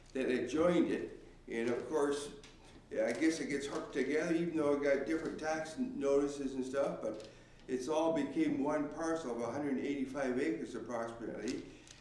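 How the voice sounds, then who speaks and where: A man with a fairly high pitch and ordinary pitch variation talks at a moderate pace, with audible room echo and noticeable background noise around him. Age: 70s. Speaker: farmer. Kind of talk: public hearing statement. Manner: halting.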